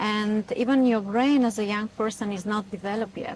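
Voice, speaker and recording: A woman with a Bulgarian accent speaks in a fairly high pitch. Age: 40s. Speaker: etiquette influencer. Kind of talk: interview. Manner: halting.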